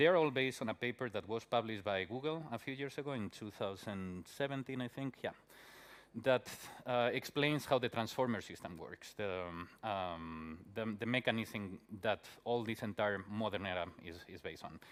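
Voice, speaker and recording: A man with a Spanish accent talks with big swings in loudness. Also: medium pitch for a man, ordinary pitch variation, moderate pace. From Spain. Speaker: conference speaker, software developer. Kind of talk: conference talk. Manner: many filler words and hesitations.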